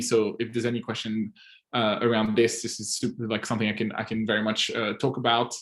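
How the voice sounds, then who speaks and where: With a Swiss French accent, a man talks at a fairly quick pace in a medium-pitched voice. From French-speaking Switzerland, near French border. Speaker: agency owner and software advisor. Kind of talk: casual group call Q&A. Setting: audio-only online call. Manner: animated.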